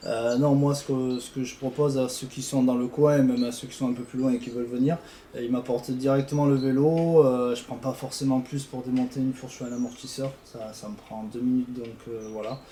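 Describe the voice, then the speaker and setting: Noticeable background noise sits behind a man with a medium pitch and a fairly quick pace. His intonation is monotone and flat, though his loudness swings widely. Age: 20s. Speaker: suspension mechanic. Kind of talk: casual interview. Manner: hesitant, many fillers.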